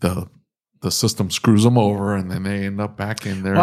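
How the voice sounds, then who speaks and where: A man talks in an American accent at a moderate pace, his pitch fairly low. The intonation is monotone and flat, on a very clean recording with a silent background. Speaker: podcast host. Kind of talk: casual conversational.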